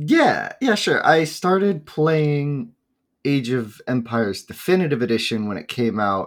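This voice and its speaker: Lively intonation from a man at a fairly slow pace, on a very clean recording with a silent background. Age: 20s. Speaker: esports tournament streamer and player. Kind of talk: casual interview chat.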